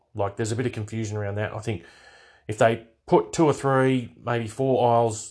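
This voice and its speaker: A man speaks at a fairly quick pace with an Australian accent, his intonation fairly even against a quiet background. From Australia, Hunter Valley NSW. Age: middle-aged. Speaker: podcast host. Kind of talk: casual monologue. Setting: home bedroom. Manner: hesitant, many fillers.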